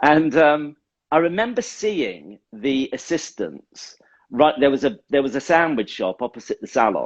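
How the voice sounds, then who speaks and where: A man speaks at a fairly high pitch with very wide pitch swings. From Essex, England. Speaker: hairdresser, creative director. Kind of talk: casual interview. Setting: Instagram live video chat. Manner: animated storytelling.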